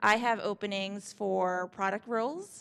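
The woman's pitch varies in an ordinary way. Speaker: event organizer; event host. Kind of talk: event introduction. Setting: stage with audience. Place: hall. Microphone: handheld.

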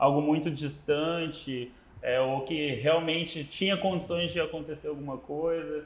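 A man's fairly high voice at a fairly slow pace, with audible room echo. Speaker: podcast host. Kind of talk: casual interview. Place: studio. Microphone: lapel.

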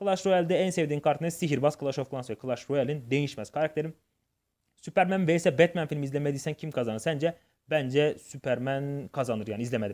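This man speaks at a fairly quick pace. His pitch sits fairly high, with ordinary pitch variation. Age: 20s. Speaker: gaming YouTuber. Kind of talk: Q&A vlog. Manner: hesitant with fillers.

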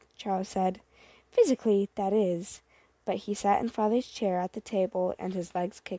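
The voice reads aloud in a plain way. Its intonation stays fairly even.

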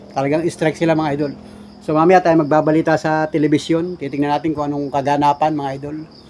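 Someone speaks at a very fast pace while faint music plays in the background. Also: man, fairly high pitch for a man. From Philippines. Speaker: vlogger. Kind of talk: casual vlog narration. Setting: outdoors. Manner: animated. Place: home room. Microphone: phone near.

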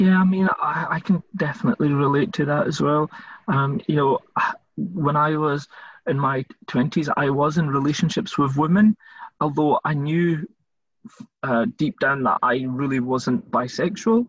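A man with a Scottish accent speaks fairly slowly at a fairly high pitch, somewhat breathy, with ordinary pitch variation. Loudness stays very even, and the sound is dry and close with no echo. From Scotland. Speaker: volunteer interviewer for a charity. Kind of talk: interview.

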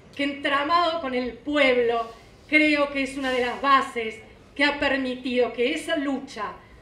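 A woman's high voice with a bright, sharp tone and audible room echo. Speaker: presenter. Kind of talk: formal speech read aloud. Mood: solemn, heartfelt. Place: hall. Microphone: podium.

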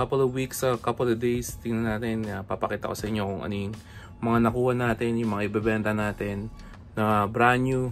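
Faint music sits behind a fairly quick, monotone delivery with flat intonation. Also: man. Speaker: sneaker vlogger. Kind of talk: casual vlog chat. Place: home room. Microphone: phone near.

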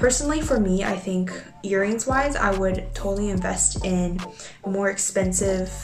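Ordinary pitch variation and a moderate pace over clear background music. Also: woman. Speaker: beauty vlogger. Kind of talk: casual vlog tutorial. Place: home room. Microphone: phone near.

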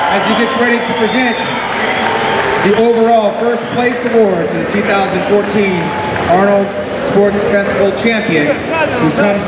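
Someone talks at a fairly slow pace amid loud background noise and audible room echo. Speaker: event announcer. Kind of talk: live event announcing. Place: stage.

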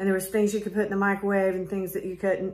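A woman speaks with an American accent. Her intonation is flat and monotone. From US South. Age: 40s. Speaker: art gallery owner. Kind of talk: casual talk to camera. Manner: hesitant, many fillers. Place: shop. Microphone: phone near.

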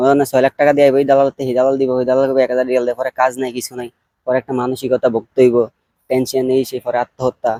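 The man's medium-pitched voice has a dark, mellow tone and a monotone, flat intonation. The sound is dry and close, with no echo. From Bangladesh. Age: 20s. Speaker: migrant restaurant worker. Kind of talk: interview.

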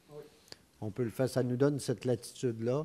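A man's dark, mellow tone at medium pitch, with fairly even intonation. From Quebec. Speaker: mayor chairing a town council meeting. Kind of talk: council meeting chairing. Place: hall. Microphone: podium.

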